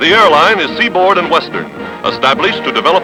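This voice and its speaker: A man's high voice with very wide pitch swings, music playing in the background. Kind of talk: newsreel narration.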